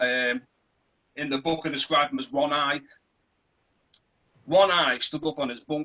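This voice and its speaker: With a Liverpool accent, a man speaks at a moderate pace in a fairly high pitch, his intonation fairly even and broken by long, frequent pauses. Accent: English, Liverpool area. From northern England, Merseyside (between Liverpool and St Helens). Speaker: former prisoner and author. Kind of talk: reading aloud from own novel; personal testimony.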